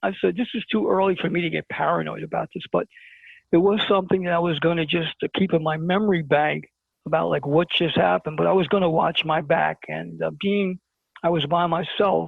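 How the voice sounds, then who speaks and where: Talking at a fairly quick pace, a man speaks with a New York accent. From Brooklyn, New York. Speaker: interview guest. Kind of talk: storytelling in an interview.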